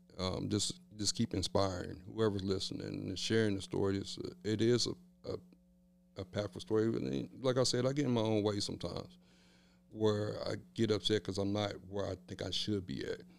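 A man with an American accent uses a normal speaking voice, fairly low in pitch, with ordinary pitch variation and a moderate pace. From Kansas City, Kansas (Wyandotte County). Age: 40s. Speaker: motivational speaker and trainer. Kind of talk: casual interview.

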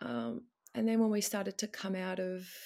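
Very clean recording, silent background, and a woman with an Australian accent. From Melbourne, Australia. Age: 40s. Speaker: coaching client sharing marriage story. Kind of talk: personal testimony in interview.

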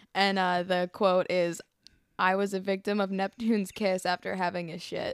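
With an American accent, a woman speaks in a medium pitch at a moderate pace with monotone, flat intonation, the sound dry and close with no echo. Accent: doesn't sound like a Pittsburgh local. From Pittsburgh, US. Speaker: podcast guest. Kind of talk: casual chat.

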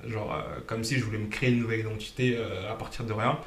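A man is heard with audible room echo. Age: 20s. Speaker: financial coach and former bank employee. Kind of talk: casual interview. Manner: hesitant, many fillers.

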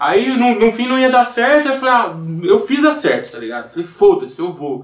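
A man speaks with pitch that swings very widely up and down. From Brazil, Campinas (São Paulo state). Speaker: music producer. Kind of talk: casual chat.

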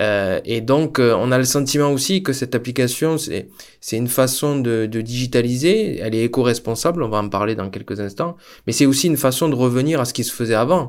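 A man has a plain, everyday voice at a medium pitch. He talks at a fairly quick pace with ordinary pitch variation. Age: 30s. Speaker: podcast host. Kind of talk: interview.

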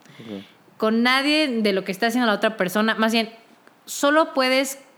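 A woman speaks at a fairly high pitch. Her pace is moderate and her pitch variation ordinary. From Mexico, Querétaro. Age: 20s. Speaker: singer and music student. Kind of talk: casual interview.

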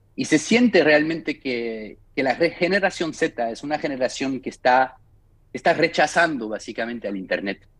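In a very clean recording with a silent background, a man with a fairly high pitch speaks at a moderate pace with lively intonation. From France, Paris. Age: 40s. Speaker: record label founder. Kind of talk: interview. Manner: halting.

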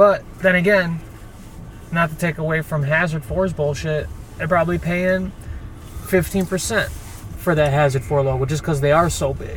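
Over noticeable background noise, a man with a fairly high pitch speaks at a moderate pace with fairly even intonation and long, frequent pauses. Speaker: co-host. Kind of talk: casual banter chat.

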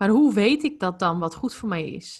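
This woman has a normal speaking voice at a medium pitch. She talks at a fairly slow pace. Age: 20s. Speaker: holistic life coach. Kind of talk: podcast interview.

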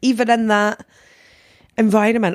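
A woman with a Scottish accent on a very clean recording, the background silent. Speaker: podcast co-host. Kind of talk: casual chat.

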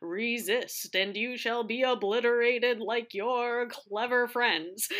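A woman uses a put-on character voice at a high pitch. She keeps a fairly even intonation and a fairly slow pace. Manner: menacing and grandiose.

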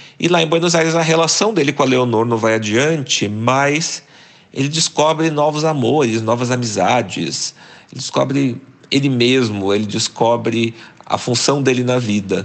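With an unremarkable speaking voice, a man talks at a medium pitch and moderate pace, his pitch varying in an ordinary way. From Brazil, interior of Paraná (near Londrina). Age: 40s. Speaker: journalist and writer. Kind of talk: interview.

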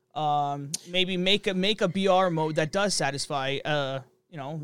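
A man with a fairly high pitch and ordinary pitch variation speaks in an unremarkable speaking voice. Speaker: podcast host. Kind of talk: casual chat. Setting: online call recording. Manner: rambling, filler-heavy.

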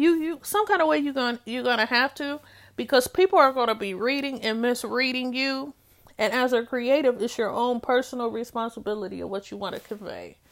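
A woman speaks in a high voice at a fairly quick pace, with ordinary pitch variation. The recording is very clean, and the background is silent. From Detroit, US. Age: 40s. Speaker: podcast host, artist and art educator. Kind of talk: solo podcast monologue. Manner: conversational with frequent fillers and restarts.

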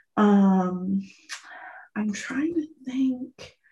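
A quiet, somewhat breathy woman's voice, dark and mellow in tone, at a very slow pace with ordinary pitch variation. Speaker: podcast co-host. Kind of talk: casual chat. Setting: bathroom at boyfriend's house. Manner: hushed; halting, many fillers.

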